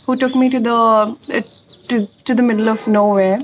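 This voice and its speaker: With noticeable background noise behind her, a woman speaks at a moderate pace in a high pitch, her intonation fairly even. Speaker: motivational YouTuber. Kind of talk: personal story vlog.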